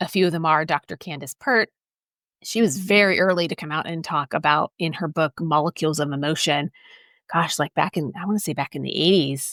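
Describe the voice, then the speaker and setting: Recorded very cleanly against a silent background with a dry, close sound and no echo, a woman speaks at a fairly quick pace in an unremarkable speaking voice, fairly low in pitch with ordinary pitch variation. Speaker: podcast host. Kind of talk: solo podcast talk. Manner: casual, conversational.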